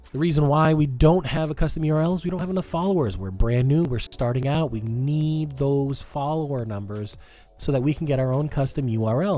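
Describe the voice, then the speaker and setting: A man with an American accent talks at a fairly quick pace in a fairly high pitch. His intonation is lively and his voice somewhat breathy. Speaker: podcast co-host. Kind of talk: self-promotion plug; casual chat. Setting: live-streamed podcast.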